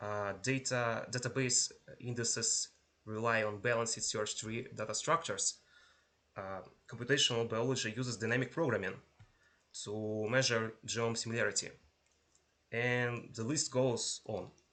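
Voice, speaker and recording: Delivering his words at a moderate pace, a man uses fairly even intonation and a bright, sharp tone, with long, frequent pauses. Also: medium pitch for a man. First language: not English. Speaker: university lecturer. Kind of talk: lecture. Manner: halting, with pauses and repetitions.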